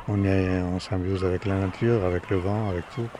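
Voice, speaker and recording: A man speaks in a very deep, low voice with monotone, flat intonation. Noticeable background noise runs underneath. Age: 70s. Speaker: retired sailor. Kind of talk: interview. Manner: halting.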